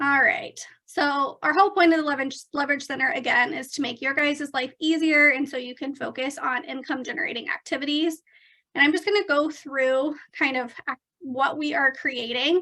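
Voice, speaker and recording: A woman with a high pitch and a bright, sharp tone uses a raised, projected voice at a moderate pace, with ordinary pitch variation. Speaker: real estate trainer. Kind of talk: online training presentation.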